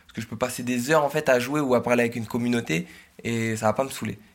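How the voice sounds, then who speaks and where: A man's medium-pitched voice with fairly even intonation, in a very clean recording with a silent background. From northern France (Oise). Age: 20s. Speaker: social media content creator. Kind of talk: interview testimony. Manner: shy laugh; hesitant, many fillers.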